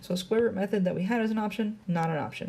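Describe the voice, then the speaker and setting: Her intonation is lively and her tone dark and mellow. The woman sounds somewhat breathy. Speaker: math teacher. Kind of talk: lecture. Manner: fast.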